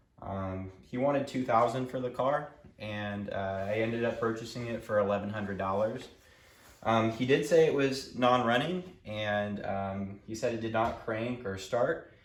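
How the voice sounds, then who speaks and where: Audible room echo surrounds the recording. A man speaks with ordinary pitch variation. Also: medium pitch for a man, moderate pace. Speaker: car repair youtuber. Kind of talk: casual tutorial talk. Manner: hesitant, many fillers.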